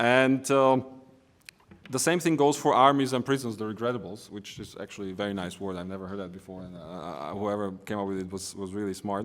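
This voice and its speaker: Someone speaks at a fairly quick pace with a Slovak accent. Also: man. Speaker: economist and politician. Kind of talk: conference presentation. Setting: conference. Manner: hesitant, with fillers and restarts.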